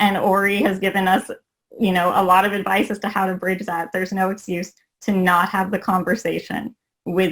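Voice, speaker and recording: Speaking fairly quickly at a medium pitch, a woman has an unremarkable speaking voice. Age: 20s. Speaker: panel moderator. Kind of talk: panel discussion. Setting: video call.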